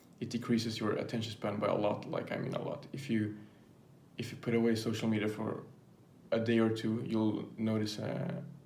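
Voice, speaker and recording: With noticeable background noise and audible room echo, a man talks in a non-native accent. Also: medium pitch for a man, fairly even intonation, fairly quick pace. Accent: non-native English speaker. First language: not English. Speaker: YouTuber. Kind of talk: casual vlog monologue. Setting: filming to camera. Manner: halting, many fillers.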